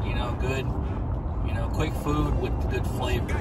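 With music playing in the background, a man talks at a moderate pace. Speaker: food vlogger. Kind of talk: casual food review chat. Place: car. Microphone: phone near.

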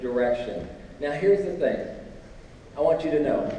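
Man's voice with audible room echo and light background noise. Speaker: preacher on stage. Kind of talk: sermon. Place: hall. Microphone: pa.

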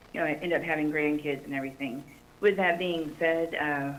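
A woman with a North Carolina accent speaks at a fairly quick pace in a very deep, low voice, her intonation monotone and flat, with audible room echo. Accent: Southern US (North Carolina). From Fayetteville, North Carolina. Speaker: army veteran, public commenter. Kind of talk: public comment at council meeting.

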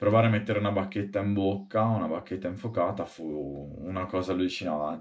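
A man talks at a fairly quick pace with a fairly low pitch against a quiet background. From Tuscany, Marina di Massa; Tuscany. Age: 30s. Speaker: street performer, stilt walker and fire juggler; interviewee. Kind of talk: interview monologue; interview answer. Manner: halting. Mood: amused, storytelling. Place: home room. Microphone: webcam.

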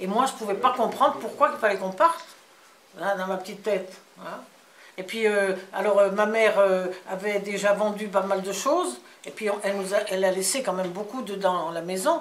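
A woman speaks at a moderate pace with a fairly bright tone. Her pitch varies in an ordinary way amid audible room echo. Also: medium pitch for a woman.

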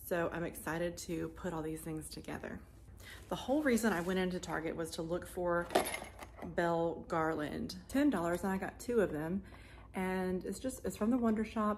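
Set against light background noise, a plain, everyday voice moves at a moderate pace with ordinary pitch variation. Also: woman. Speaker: home decor vlogger. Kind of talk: casual vlog chat. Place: home room. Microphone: phone near.

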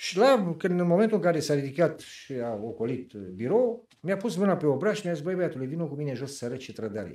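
In audible room echo, a man with a fairly high pitch and a dark, mellow tone talks at a very fast pace, with very wide pitch swings and big swings in loudness. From Romania. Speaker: 1989 revolution participant and activist; interview guest. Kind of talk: interview testimony. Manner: animated. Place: studio.

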